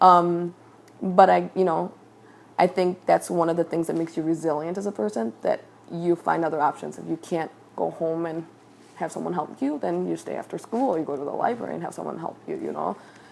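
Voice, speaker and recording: Someone with a Chicago-area accent speaks at a fairly quick pace. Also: woman, big swings in loudness. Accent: Chicago-area American English. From US Midwest, Chicago area (came from Mexico at 3-4). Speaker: interviewee, medical field. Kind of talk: interview.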